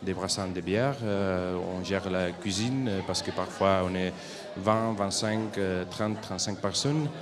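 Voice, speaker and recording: A man with a very deep, low pitch talks fairly slowly in a Spanish accent. Audible room echo and background music fill the recording. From Spain, Barcelona area. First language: Spanish or Catalan (speaking French). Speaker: European volunteer. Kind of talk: interview at a school forum. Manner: hesitant, many fillers.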